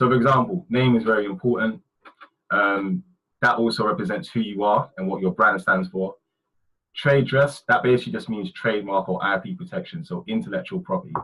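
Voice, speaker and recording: The pitch swings very widely. The pace is fairly quick. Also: man, medium pitch for a man. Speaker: brand designer presenting webinar. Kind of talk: webinar presentation. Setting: online webinar. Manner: fast.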